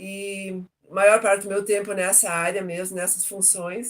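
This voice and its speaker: Speaking at a moderate pace, a woman holds a medium pitch. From southern Brazil, Joinville, Santa Catarina. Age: 60s. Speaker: retired logistics professional, interviewee. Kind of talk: interview testimony.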